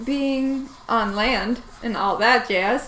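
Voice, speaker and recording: Over noticeable background noise and audible room echo, a woman speaks at a very slow pace in a high pitch. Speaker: painting streamer. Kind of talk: live painting tutorial stream. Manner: animated.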